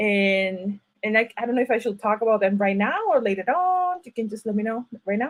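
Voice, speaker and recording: A woman speaks with a Mexican accent at a moderate pace. Her pitch is fairly high. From Mexico (Ciudad Obregón, Sonora). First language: Spanish. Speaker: writer and university teacher. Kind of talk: panel talk at online event. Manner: halting, many fillers and restarts.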